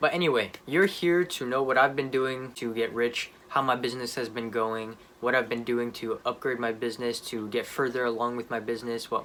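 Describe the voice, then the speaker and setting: A man talks at a fairly quick pace with a medium pitch. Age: 20s. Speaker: young entrepreneur vlogger. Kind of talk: casual vlog monologue. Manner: fast; animated.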